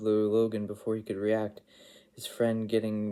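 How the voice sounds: A natural reading voice carries the whole clip.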